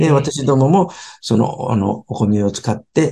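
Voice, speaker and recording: The man's tone is dark and mellow, and somewhat breathy. His intonation is lively. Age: 70s. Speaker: sushi restaurant company chairman. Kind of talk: interview talk about his business.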